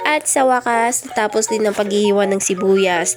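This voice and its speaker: Over music in the background, a woman talks at a fairly slow pace with a medium pitch. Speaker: vlogger. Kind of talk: vlog voice-over narration. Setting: voice-over recording. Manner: casual, chatty.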